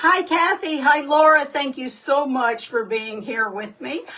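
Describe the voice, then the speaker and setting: A woman at a very slow pace over noticeable background noise. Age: 60s. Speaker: direct sales consultant. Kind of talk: livestream talk. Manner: halting, many fillers.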